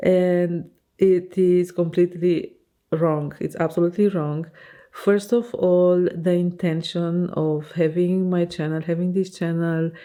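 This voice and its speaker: At a fairly slow pace, a woman with a non-native accent speaks in a dark, mellow tone at a fairly low pitch, her intonation monotone and flat. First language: Romanian. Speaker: fashion designer and vlogger. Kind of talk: casual vlog monologue. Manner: hesitant, many fillers.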